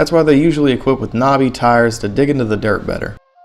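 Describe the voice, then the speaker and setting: A man's medium-pitched voice with an American accent and ordinary pitch variation, music in the background. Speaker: motorcycle rider. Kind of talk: casual explainer talk to camera. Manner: humorous, casual.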